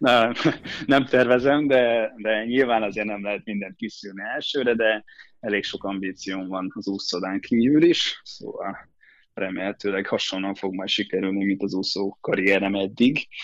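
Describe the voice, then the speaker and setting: In an ordinary speaking voice, a man talks at a fairly slow pace and a fairly low pitch with ordinary pitch variation. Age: 20s. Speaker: swimmer. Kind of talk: interview.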